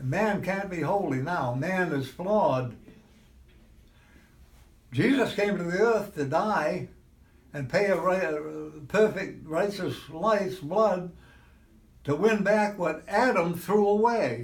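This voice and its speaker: A man with a high voice and lively intonation, at a very slow pace with long, frequent pauses. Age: 80s+. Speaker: clam fisherman. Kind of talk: interview answer.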